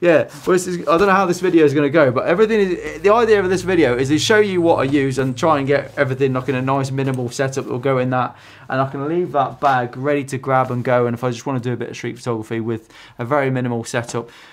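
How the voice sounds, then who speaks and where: Speaking very fast, a man keeps his pitch variation ordinary. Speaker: photography vlogger. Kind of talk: casual vlog chat. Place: home room.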